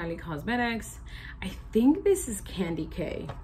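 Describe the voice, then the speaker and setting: There is noticeable background noise and audible room echo as a woman talks at a moderate pace. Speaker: beauty vlogger. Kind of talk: makeup tutorial. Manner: casual, chatty.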